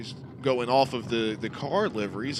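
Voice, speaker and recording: A man talks with music in the background. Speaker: sim racing commentator. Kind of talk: live commentary. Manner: loud.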